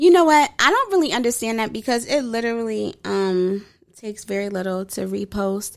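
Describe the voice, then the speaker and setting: At a moderate pace, a woman with an ordinary speaking voice and a fairly high pitch is heard on a very clean recording with a silent background. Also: lively intonation. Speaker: podcast co-host. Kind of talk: casual chat.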